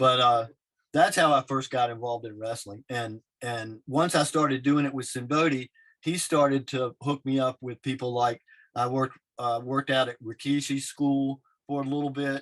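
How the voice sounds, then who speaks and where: Against a quiet background, a man with an unremarkable speaking voice talks with fairly even intonation. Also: medium pitch for a man, moderate pace, dry, close sound with no echo. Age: 60s. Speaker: wrestler and artist. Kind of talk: casual chat.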